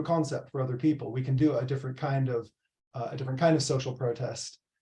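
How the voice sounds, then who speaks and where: A very fast, somewhat breathy male voice with an American accent and a dark, mellow tone. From US Pacific Northwest, Seattle. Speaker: professor. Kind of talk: presentation. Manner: hesitant, many fillers.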